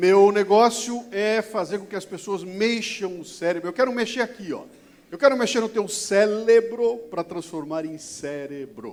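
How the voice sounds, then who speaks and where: A man's high, animated voice at a fairly slow pace, with big swings in loudness and ordinary pitch variation. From interior of São Paulo state, Brazil (Bauru). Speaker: motivational speaker. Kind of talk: keynote talk. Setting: stage with audience. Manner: animated, colloquial.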